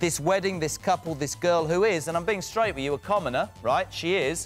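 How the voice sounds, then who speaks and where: A British accent at a fairly quick pace with music in the background. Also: man. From England. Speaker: talk show host. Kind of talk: interview answer.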